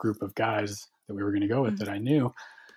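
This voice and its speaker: On a very clean recording with total silence behind him, a man talks with a fairly low voice. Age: 30s. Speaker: type 1 diabetic fitness enthusiast. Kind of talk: interview storytelling. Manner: halting.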